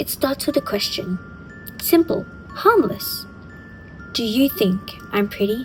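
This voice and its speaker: With music in the background, a woman talks at a fairly slow pace. She leaves long, frequent pauses. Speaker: horror storyteller. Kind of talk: horror storytelling narration. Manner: atmospheric, slow, dramatic with dry humor.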